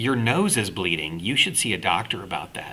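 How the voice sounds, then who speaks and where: Putting on a character voice, a man speaks at medium pitch with very wide pitch swings. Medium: read story.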